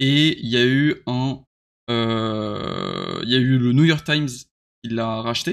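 A man at medium pitch, very slow pace, fairly even intonation, and long, frequent pauses. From western France, Nantes. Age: 20s. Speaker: web developer. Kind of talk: casual chat. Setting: live stream. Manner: halting, frequent repetitions.

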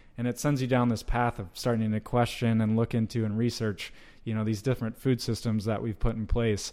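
In an American accent, the speaker talks at a fairly quick pace with a dark, mellow tone and monotone, flat intonation. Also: man, medium pitch for a man. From US South, North Georgia. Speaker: meat company sales director. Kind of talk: interview.

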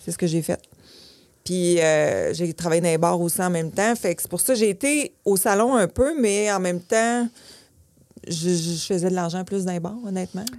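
A woman speaks at a medium pitch with ordinary variation. Her pace is moderate, in a Quebec accent. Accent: Québécois French. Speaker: hair salon owner. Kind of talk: interview.

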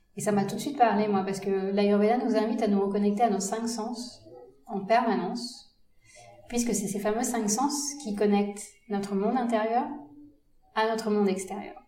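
A woman with a fairly high pitch speaks at a moderate pace, her intonation fairly even and her pauses long and frequent. Noticeable background noise and audible room echo fill the recording. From India. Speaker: doctor. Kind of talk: interview.

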